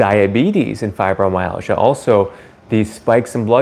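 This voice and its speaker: The speaker is a man. He keeps to a moderate pace. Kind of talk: live stream educational talk. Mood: cheerful, laughs at times. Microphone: phone near.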